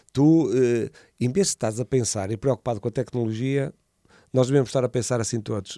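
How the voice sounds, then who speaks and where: A man with a medium pitch and a dark, mellow tone talks at a fairly quick pace with ordinary pitch variation. The recording is dry and close, with no echo. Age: 60s. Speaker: entrepreneur. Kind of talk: podcast interview. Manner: halting, many repetitions.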